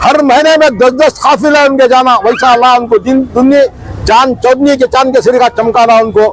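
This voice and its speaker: Over noticeable background noise, a man with an extremely high pitch speaks with fairly even intonation and very even loudness. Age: 60s. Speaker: umrah pilgrim. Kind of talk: interview.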